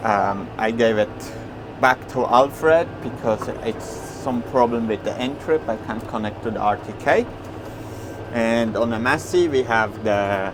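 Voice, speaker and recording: Noticeable background noise sits under speech at a fairly slow pace. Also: man. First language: Swiss German. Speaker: farmer. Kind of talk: casual vlog talk while working. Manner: halting, with many fillers.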